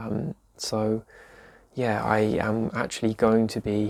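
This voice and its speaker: A man with an English accent speaks in a fairly low voice. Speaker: vlogger with chronic illness. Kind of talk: casual vlog talk. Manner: soft-spoken, quiet; hesitant with fillers.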